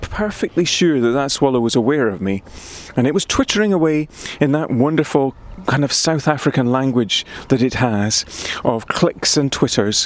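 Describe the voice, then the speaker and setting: Over noticeable background noise, a man with a Scottish accent talks at a fairly high pitch with lively intonation. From Scotland, Highland Perthshire. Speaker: poet. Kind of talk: casual chat; reading aloud.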